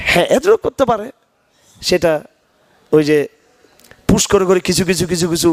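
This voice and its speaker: In a dry, close sound with no echo, a man speaks in an animated tone at a high pitch. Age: 50s. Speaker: Islamic scholar. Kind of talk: religious lecture with Q&A.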